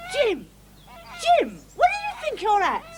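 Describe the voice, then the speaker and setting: In a put-on character voice, squeaky and extremely high in pitch, the speaker goes at a fairly slow pace. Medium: short film. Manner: brisk, homely.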